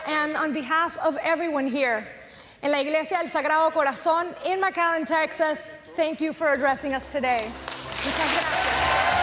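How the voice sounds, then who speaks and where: Crowd noise fills the background as a woman with a Spanish accent speaks at a moderate pace. Her voice is extremely high and her intonation fairly even. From Venezuela. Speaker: news reporter.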